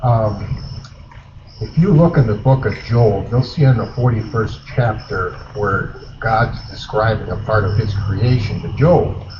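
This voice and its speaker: Amid noticeable background noise and audible room echo, a man with an Upper Midwest accent talks at a fairly slow pace in a medium pitch with ordinary pitch variation. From Wisconsin. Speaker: eyewitness storyteller. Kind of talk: campfire storytelling. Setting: outdoor campfire at festival.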